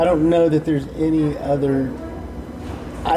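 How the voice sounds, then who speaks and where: Noticeable background noise behind a man's voice, fairly high in pitch. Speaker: podcast host. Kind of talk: casual interview chat.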